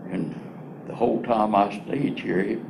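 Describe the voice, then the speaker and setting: With a North Carolina accent, a man talks at a fairly low pitch and moderate pace, with audible room echo and noticeable background noise. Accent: Southern US, rural North Carolina. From North Carolina, Piedmont (born southern Virginia). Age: 80s+. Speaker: former county commissioner. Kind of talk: interview. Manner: halting, with many restarts.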